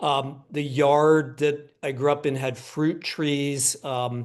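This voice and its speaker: Against a quiet background, a man with an American accent speaks in a plain, everyday voice, fairly high in pitch, with fairly even intonation. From Pennsylvania, US. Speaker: book editor, scholar. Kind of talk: panel discussion.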